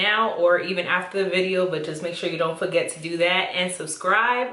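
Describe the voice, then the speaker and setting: A woman with an American accent is heard in audible room echo, with noticeable background noise around her. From New York City (Bronx), Dominican-Honduran family. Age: 20s. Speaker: YouTuber. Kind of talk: casual chat.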